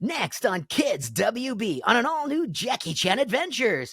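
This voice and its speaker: The voice here is a put-on character voice. It sits fairly high in pitch. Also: moderate pace. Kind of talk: broadcast announcer. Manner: upbeat and energetic.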